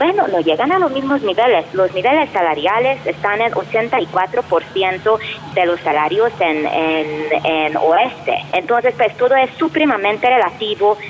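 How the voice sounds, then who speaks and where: Over noticeable background noise, a woman speaks at a fairly slow pace with a medium pitch. Her pitch swings very widely while her loudness stays very even. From Hungary. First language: Hungarian (speaking Spanish). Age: 40s. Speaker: professor and researcher. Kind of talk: interview.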